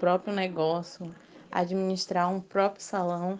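This woman has an ordinary speaking voice and a medium pitch. She talks fairly slowly. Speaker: student interviewer. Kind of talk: interview.

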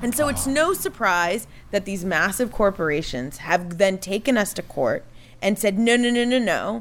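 In an American accent, a woman speaks at a moderate pace with medium pitch and lively intonation, an unremarkable speaking voice. The recording is very clean, with a silent background. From Texas, Houston. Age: 30s. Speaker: food policy activist. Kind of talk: casual interview. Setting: outdoor deck at home.

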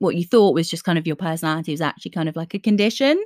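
A woman with an ordinary speaking voice and lively intonation speaks at a medium pitch in a very clean recording with a silent background, the sound dry and close with no echo. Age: 20s. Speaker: podcast host. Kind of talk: casual chat. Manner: laughs often.

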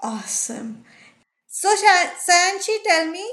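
A woman speaks at a very slow pace. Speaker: podcast host. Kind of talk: interview.

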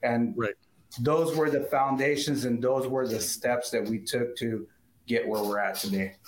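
A man with an American accent speaks at a fairly slow pace, in a medium pitch with ordinary pitch variation. He has an ordinary speaking voice. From Southern California. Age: 50s. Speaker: auto detailing business owner. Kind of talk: interview.

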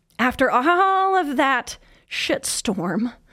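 A woman's animated voice with an American accent and very wide pitch swings on a very clean recording with a silent background. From Kansas City, US Midwest. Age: 30s. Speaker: sobriety coach and podcast host. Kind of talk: solo podcast monologue.

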